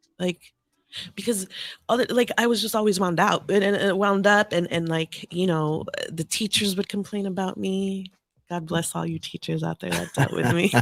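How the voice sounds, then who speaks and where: A woman speaks in a normal speaking voice with an American accent. Her medium pitch shows ordinary pitch variation at a moderate pace. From Los Angeles, Salvadoran family. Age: 40s. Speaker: podcast guest. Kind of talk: casual chat.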